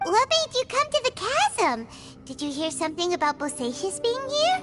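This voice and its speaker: Over loud music in the background, a squeaky, extremely high put-on character voice speaks at a moderate pace. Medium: video game. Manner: excitable, exclamatory.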